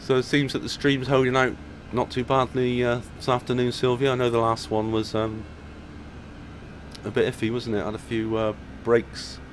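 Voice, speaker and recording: A man at a moderate pace, relaxed in tone, with flat, monotone intonation, long and frequent pauses, and light background noise. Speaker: flight simulator streamer. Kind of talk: live stream commentary. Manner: relaxed, chatty with fillers; loud. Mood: relaxed, self-deprecating. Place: home room. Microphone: headset.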